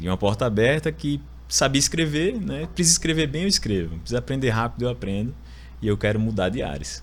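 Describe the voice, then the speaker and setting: The background is silent and the recording very clean. A man races through his words at a very fast pace. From Alagoas, Brazil (Maceió). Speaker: lawyer turned marketing executive. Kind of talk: podcast interview, personal story.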